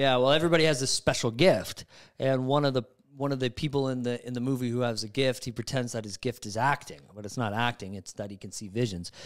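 A man talks at a very fast pace with ordinary pitch variation and big swings in loudness. The background is quiet. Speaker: podcast host. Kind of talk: casual chat. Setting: studio. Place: studio. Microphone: studio mic.

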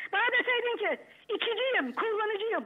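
Over a quiet background, a woman with an extremely high pitch speaks at a moderate pace. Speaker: aunt of a family member; talk show guest. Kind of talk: heated debate. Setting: phone call. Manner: emotional. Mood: aggrieved, hurt, accusing. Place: studio. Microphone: lapel.

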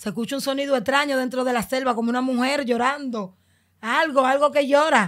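Her pitch is high with ordinary variation. The woman keeps a moderate pace against a quiet background. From Dominican Republic, Los Mina (Santo Domingo Este); Dominican Republic. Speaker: migrant telling her journey; podcast guest. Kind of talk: testimony. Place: studio. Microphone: studio mic.

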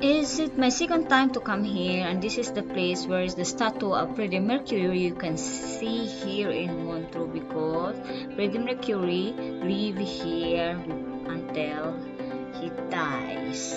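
In a Filipino accent, the speaker goes at a very slow pace with loud music in the background. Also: woman. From Philippines. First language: Bisaya. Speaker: travel vlogger. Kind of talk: travel vlog talk to camera. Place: train. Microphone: phone near.

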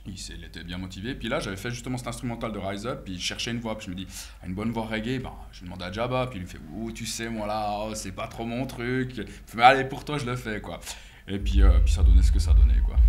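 A man's fairly low-pitched voice with vocal fry and ordinary pitch variation, at a very fast pace. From Switzerland. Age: 30s. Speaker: DJ and house music producer; DJ. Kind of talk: casual interview.

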